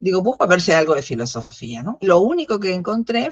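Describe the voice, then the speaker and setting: Recorded with a dry, close sound and no echo, a woman's medium-pitched voice makes very wide pitch swings. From Argentina. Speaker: philosophy educator. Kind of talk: interview. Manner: halting, many fillers.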